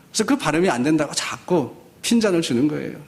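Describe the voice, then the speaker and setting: A man with a high-pitched voice speaks at a moderate pace, and the room echo is audible. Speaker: pastor. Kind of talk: sermon. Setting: church.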